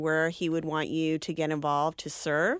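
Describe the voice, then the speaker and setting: A woman talks in a very deep, low register with monotone, flat intonation. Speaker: radio co-host. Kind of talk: call-in radio show. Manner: loud.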